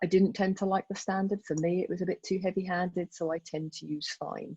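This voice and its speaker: A woman speaks at a fairly low pitch and a fairly quick pace. Her voice is somewhat breathy. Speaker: photographer giving a club talk. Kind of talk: tutorial. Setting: video call. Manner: fast.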